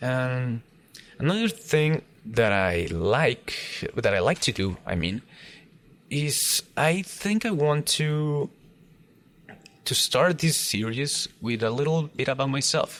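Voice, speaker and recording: This man has a Mexican accent and a fairly high pitch, with very wide pitch swings. He talks very slowly, with long, frequent pauses. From Mexico. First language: Spanish. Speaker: gaming YouTuber. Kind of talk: casual let's play commentary. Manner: halting, many fillers and repeats.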